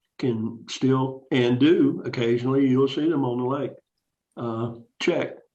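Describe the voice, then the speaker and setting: An American man speaks at a fairly slow pace in a flat monotone. Room echo is audible. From Texas, San Antonio. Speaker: fishing club member. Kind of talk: casual interview.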